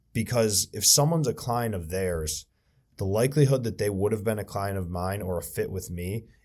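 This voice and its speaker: A plain, everyday voice from a man, fairly low in pitch, at a moderate pace with ordinary pitch variation, on a very clean recording with a silent background. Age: 20s. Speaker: financial advisor. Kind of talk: casual chat.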